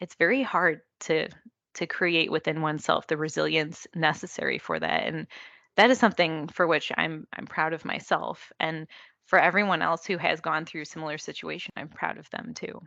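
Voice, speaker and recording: Soft-spoken with vocal fry, a woman uses a very deep, low pitch and a bright, sharp tone, speaking at a moderate pace with ordinary pitch variation over a quiet background. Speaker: electrical engineer, market development manager. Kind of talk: interview. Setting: video call.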